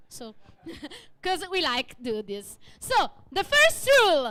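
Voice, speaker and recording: A woman with an Italian accent speaks very slowly in a raised, projected voice, her pitch swinging very widely. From Italy. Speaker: event host. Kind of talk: live event hosting. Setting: stage with audience.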